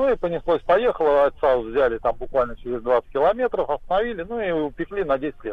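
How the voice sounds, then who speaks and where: Very wide pitch swings from a man, his voice fairly high, his pace moderate. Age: 50s. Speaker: caller. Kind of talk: phone call story. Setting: phone call.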